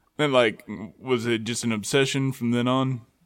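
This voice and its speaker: This man talks at a medium pitch. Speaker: podcast host. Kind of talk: casual interview. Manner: filler-heavy, hesitant.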